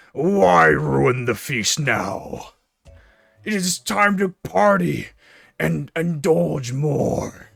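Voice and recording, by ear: Using a raspy, put-on character voice, a man talks at a very slow pace at medium pitch with very wide pitch swings.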